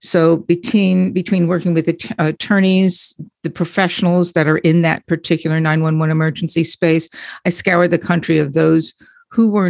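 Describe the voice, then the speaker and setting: Heard on a very clean recording with a silent background and a dry, close sound with no echo, the speaker uses an ordinary speaking voice with an American accent at a moderate pace. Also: woman. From US Northeast, Long Island. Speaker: caregiver consultant. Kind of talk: interview.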